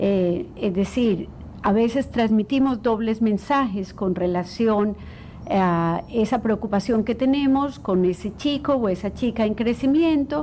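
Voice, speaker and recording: This woman has an ordinary speaking voice, pitched fairly high. She talks at a fairly slow pace with ordinary pitch variation. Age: 60s. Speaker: clinical psychologist. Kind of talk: interview.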